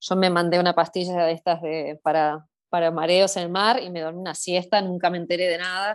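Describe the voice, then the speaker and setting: A woman speaks at a fairly quick pace in a fairly low pitch, her intonation monotone and flat, against a quiet background. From Argentina, Buenos Aires city. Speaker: Argentine expat in Scotland, mountain hiker. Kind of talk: casual interview chat. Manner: hesitant, many repetitions and fillers.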